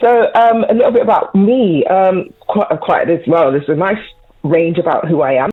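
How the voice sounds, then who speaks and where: Over noticeable background noise, a woman with a slight Bristol accent speaks at a moderate pace. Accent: slight Bristol twang. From Bristol, England. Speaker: mental health first aider, guest. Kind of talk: radio interview. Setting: phone call into radio show.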